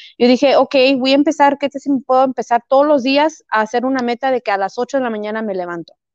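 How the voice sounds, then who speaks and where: A woman speaks very fast with a high pitch and a Chihuahua accent. Her pitch variation is ordinary, and the sound is dry and close with no echo. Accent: sounds like Chihuahua, Mexico. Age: 30s. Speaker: fitness and weight-loss transformation guest. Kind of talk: casual interview.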